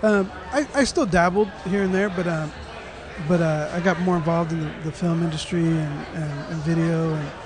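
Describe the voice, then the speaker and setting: A man with a high pitch speaks at a moderate pace and fairly even intonation. Audible room echo and crowd noise fill the background. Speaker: podcast host and interviewer. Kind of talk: casual interview conversation. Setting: hotel lobby.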